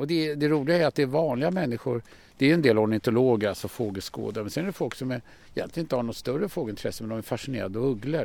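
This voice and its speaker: A man is speaking. His intonation is lively. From Stockholm, Sweden. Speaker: birdwatcher and conservationist, excursion guide. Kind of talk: guided walk explanation. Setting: outdoors.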